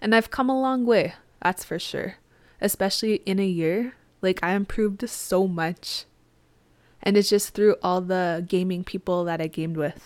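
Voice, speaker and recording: An ordinary speaking voice from a woman, medium in pitch with ordinary pitch variation, at a moderate pace, on a very clean recording with a silent background. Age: 20s. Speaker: podcast host and Twitch streamer. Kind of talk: casual solo podcast monologue. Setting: home office with microphone.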